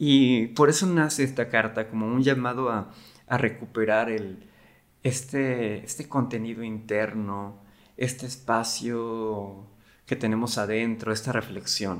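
Fairly even intonation and a medium pitch mark a man who talks fairly slowly. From Mexico, Cancún. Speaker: creative agency worker and podcast host. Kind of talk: casual talk. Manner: halting, with repetitions.

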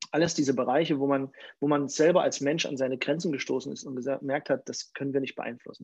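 This male speaker's pitch is fairly high. He goes at a very fast pace. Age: 40s. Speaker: pastor. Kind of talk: sermon; casual chat.

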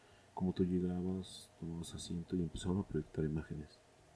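With a very deep, low voice and a dark, mellow tone, a man speaks at a fairly quick pace in a monotone, flat way. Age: 30s. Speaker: film podcast host. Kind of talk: casual monologue. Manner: hesitant, many fillers.

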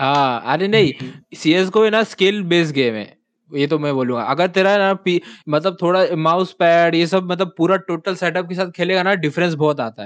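A man talks in an animated tone, with high pitch. The background is quiet. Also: ordinary pitch variation, moderate pace. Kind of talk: casual chat.

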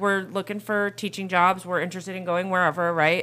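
Medium-pitched speech from a woman with an American accent. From New York State (Orange County, NY). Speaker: school vice principal. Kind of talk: casual chat.

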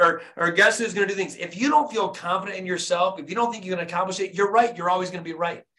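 A man's high, raised and projected voice in an American accent, animated and at a very fast pace. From US Midwest, Flint, Michigan. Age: 40s. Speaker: dentist and motivational coach. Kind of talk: motivational talk.

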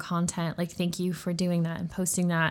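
Heard on a very clean recording with a silent background, a woman with an American accent speaks at a medium pitch and moderate pace. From southern Utah, US. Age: young. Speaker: marketing executive and entrepreneur. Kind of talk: interview conversation.

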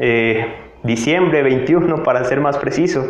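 A man speaks very slowly with lively intonation. Noticeable background noise and audible room echo surround his voice. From Mexico, Tabasco. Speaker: podcaster. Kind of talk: motivational monologue.

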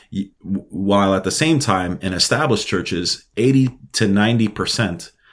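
In a normal speaking voice, a man with an American accent talks at a moderate pace with fairly low pitch and ordinary pitch variation, on a very clean recording with a silent background. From New York City (Brooklyn). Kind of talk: interview.

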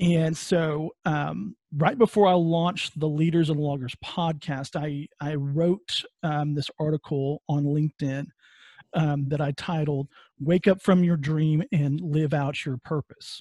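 A man with a West Texas accent speaks at a fairly slow pace, his pitch fairly high and his intonation fairly even, with a dark, mellow tone. The recording is very clean with a silent background, and the sound is dry and close with no echo. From West Texas (Midland). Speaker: podcast host and HR consultant. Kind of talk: interview. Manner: hesitant, many fillers.

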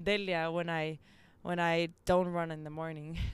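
A woman with a Spanish accent talks at a moderate pace in a fairly low pitch on a very clean recording with a silent background. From Mexico, Nuevo León. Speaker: amateur athlete, runner. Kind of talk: casual interview. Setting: rooftop outdoors.

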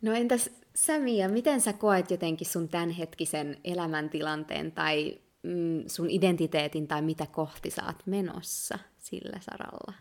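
A woman's fairly low-pitched voice at a fairly slow pace with ordinary pitch variation. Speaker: podcast co-host. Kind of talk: casual chat.

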